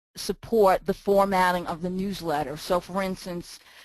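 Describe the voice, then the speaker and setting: Monotone, flat delivery at a moderate pace with a New York accent. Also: woman. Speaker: email marketing consultant. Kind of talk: software walk-through.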